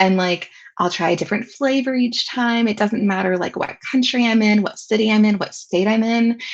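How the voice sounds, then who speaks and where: A somewhat breathy, fairly high-pitched woman's voice with a Southern California accent, ordinary pitch variation and a moderate pace. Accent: picked up in Southern California. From US South, with some childhood years in Southern California. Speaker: educational technology consultant and trainer. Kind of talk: webinar presentation.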